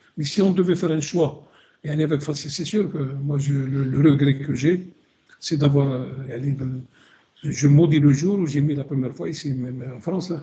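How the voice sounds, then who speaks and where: A man's fairly high, somewhat breathy voice with a dark, mellow tone, fairly even intonation, a moderate pace and audible room echo. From Algeria. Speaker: radio co-host, historian. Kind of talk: radio discussion. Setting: live radio broadcast. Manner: halting, many repetitions.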